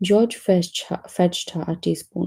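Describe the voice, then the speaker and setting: A woman's somewhat breathy voice, fairly low in pitch, with a dark, mellow tone. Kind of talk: children's story reading.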